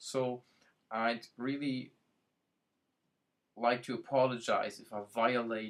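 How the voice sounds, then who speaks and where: In a German accent, the speaker talks with monotone, flat intonation. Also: man. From Germany. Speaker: IT and productivity consultant. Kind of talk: website introduction video. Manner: hesitant, with many fillers.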